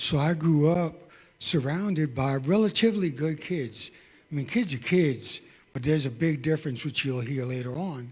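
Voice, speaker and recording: A man speaks in a New York accent at a moderate pace and fairly high pitch. His voice is somewhat breathy, with ordinary pitch variation. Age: 60s. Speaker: testimony speaker. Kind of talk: testimony.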